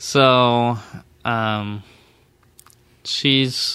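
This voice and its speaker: With an American accent, a man speaks at a medium pitch in a bright, sharp tone. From Texas, Dallas suburb. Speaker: accountant. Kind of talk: casual chat.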